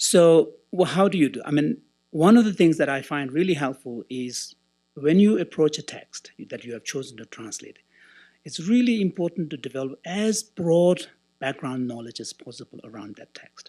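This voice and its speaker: Recorded very cleanly against a silent background, a man with a dark, mellow tone and fairly high pitch speaks at a moderate pace, with very wide pitch swings and big swings in loudness. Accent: Tibetan. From Tibetan, raised in India. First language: Tibetan. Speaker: translator and Buddhist scholar. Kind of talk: conference closing speech with personal story. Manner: halting, with many fillers.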